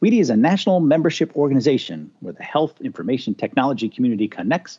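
Very wide pitch swings mark a man's medium-pitched voice, which carries vocal fry. He talks at a very fast pace. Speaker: podcast host. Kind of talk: podcast interview.

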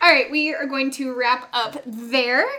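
There is noticeable background noise as a woman speaks in a Southern US accent at a moderate pace. Her voice is high-pitched, raised and projected. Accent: US South. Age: 20s. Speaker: podcast host. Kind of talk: casual interview.

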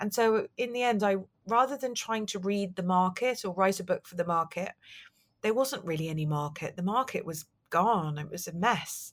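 On a very clean recording with a silent background, a woman with a southern English accent and a medium pitch speaks at a fairly quick pace with lively intonation. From London. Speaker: novelist and book publicist. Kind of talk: interview. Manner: hesitant.

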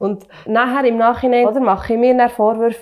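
Her tone is dark and mellow, at a fairly high pitch. The woman keeps a moderate pace. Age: 30s. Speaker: working mother. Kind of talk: casual discussion.

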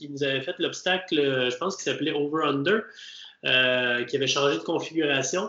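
A man with a Quebec accent at a fairly slow pace, amid noticeable background noise. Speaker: obstacle racing podcast host. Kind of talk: casual chat.

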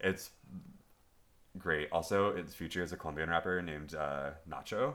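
A bright, sharp tone in an American accent, with ordinary pitch variation at a fairly slow pace. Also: man. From Los Angeles, US. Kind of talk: casual chat.

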